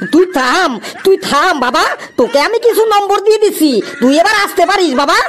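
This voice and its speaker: A cartoonish character voice at an extremely high pitch and moderate pace, with clear background noise. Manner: gruff, impatient.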